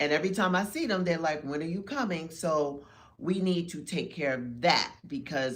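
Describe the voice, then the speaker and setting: A woman speaks with a very deep, low pitch at a moderate pace. Her intonation is lively. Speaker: podcast co-host. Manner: casual, talkative.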